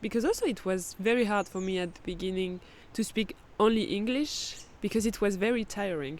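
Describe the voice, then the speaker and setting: A woman with a French accent speaks at medium pitch. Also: ordinary pitch variation, fairly quick pace. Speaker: podcast host. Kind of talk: casual chat. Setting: outdoors in a forest campground.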